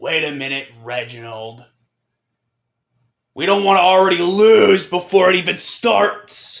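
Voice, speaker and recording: A man uses a put-on character voice that is raspy and high, with lively intonation. He talks at a fairly slow pace with long, frequent pauses. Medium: audio drama. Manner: determined, defiant.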